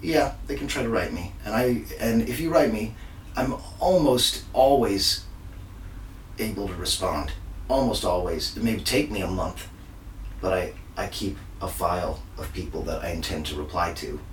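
The pace is moderate, with long, frequent pauses. There is audible room echo and noticeable background noise. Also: man. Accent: American. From Texas. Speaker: magician. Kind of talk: casual interview.

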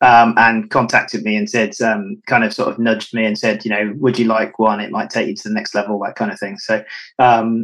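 This man's voice sits at a medium pitch, bright and sharp in tone, at a moderate pace. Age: 40s. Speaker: canicross racer. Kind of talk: interview.

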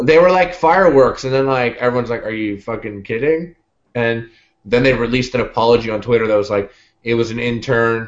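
A man with an unremarkable speaking voice talks at a fairly quick pace in a Canadian accent, his medium pitch showing ordinary pitch variation. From Canada. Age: 20s. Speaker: YouTube cooking show host. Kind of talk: casual chat.

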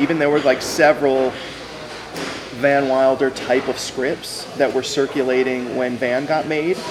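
The speaker has a Californian accent and monotone, flat intonation at a moderate pace. Noticeable background noise is present. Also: man. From Los Angeles, San Fernando Valley. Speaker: screenwriter. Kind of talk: casual chat. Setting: diner. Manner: halting.

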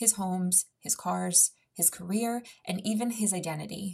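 A woman with a medium pitch and a somewhat breathy voice speaks at a fairly slow pace with fairly even intonation. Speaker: podcast host and fitness trainer. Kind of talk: casual interview conversation.

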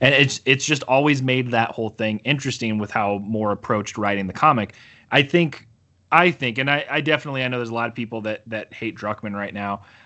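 A man talks at a very fast pace with a Midwestern US accent. His pitch is medium, with ordinary variation. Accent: US Midwest. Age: 30s. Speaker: comic book letterer and podcaster. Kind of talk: casual chat.

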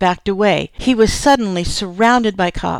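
The speaker reads aloud in a natural voice, the pitch moving with ordinary variation.

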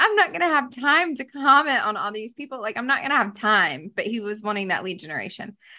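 With an American accent, a woman uses a raised, projected voice, high and bright and sharp in tone, with very wide pitch swings at a moderate pace, on a very clean recording with a silent background. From US South, Greenville, South Carolina. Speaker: social media expert. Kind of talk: casual interview. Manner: animated.

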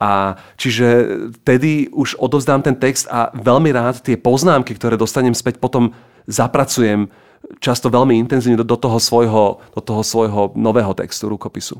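In an ordinary speaking voice, a man at medium pitch speaks with fairly even intonation at a moderate pace, on a very clean recording with a silent background. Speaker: writer. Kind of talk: casual chat.

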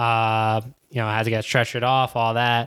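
In a New York accent, a man speaks at a medium pitch on a very clean recording with a silent background. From New York City (Queens). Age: 20s. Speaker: professional soccer player. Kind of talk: casual chat.

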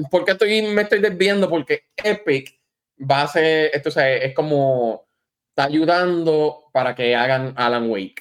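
Here is a man with an ordinary speaking voice. His pitch is fairly high and his pace moderate. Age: 40s. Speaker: gaming podcast guest. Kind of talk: casual chat.

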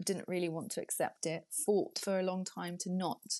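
A woman with an unremarkable speaking voice, fairly low in pitch and fairly even in intonation. She talks at a moderate pace against a quiet background. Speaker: beauty writer and podcaster. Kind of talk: casual interview.

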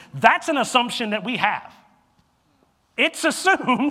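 With a bright, sharp tone and lively intonation, a man speaks in a raised, projected voice that sounds animated. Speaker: pastor. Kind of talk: sermon. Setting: church. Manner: loud.

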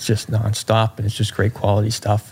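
Fairly quick male speech amid noticeable background noise. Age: 30s. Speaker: golf coach. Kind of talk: casual chat.

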